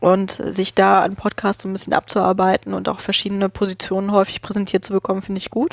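Speaking at a very fast pace with hardly any pauses, a woman keeps a medium pitch and a monotone, flat intonation. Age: 20s. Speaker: podcaster. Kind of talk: casual chat. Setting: studio.

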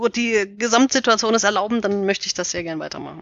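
A woman has a plain, everyday voice, medium in pitch with ordinary pitch variation. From Bavaria, near Munich. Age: 30s. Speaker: author. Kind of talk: casual interview.

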